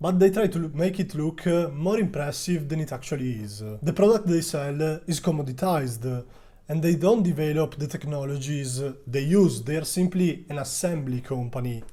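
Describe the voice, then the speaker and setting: With an Italian accent, a man speaks at a moderate pace in a dark, mellow, somewhat breathy tone. His pitch is fairly high, with ordinary variation. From Italy. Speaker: stock market youtuber. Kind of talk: video commentary on a stock. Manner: hesitant, frequent uh fillers.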